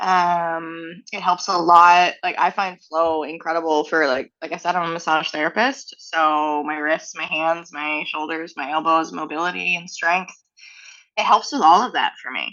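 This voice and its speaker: The intonation stays fairly even at a moderate pace. There is a slight East Coast Canadian accent. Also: woman, fairly low pitch for a woman. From Nova Scotia, Canada (Halifax). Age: 30s. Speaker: flow artist and instructor. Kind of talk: casual interview chat. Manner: casual, many fillers like um and like.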